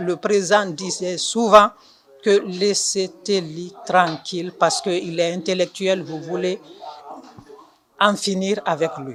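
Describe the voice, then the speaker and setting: Noticeable background noise surrounds a woman who talks very slowly. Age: 60s. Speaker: party supporter interviewee. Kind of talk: interview. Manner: halting.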